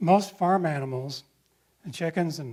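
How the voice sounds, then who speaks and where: With a US Midwestern accent, a man speaks at a moderate pace at a fairly high pitch with ordinary pitch variation. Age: 60s. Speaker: ecologist. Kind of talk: lecture.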